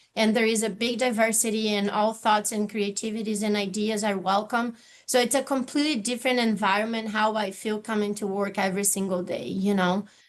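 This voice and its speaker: The speaker is a woman with a fairly high pitch. Her intonation is monotone and flat over a quiet background. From Brazil. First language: Portuguese. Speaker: university office manager. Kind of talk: panel discussion.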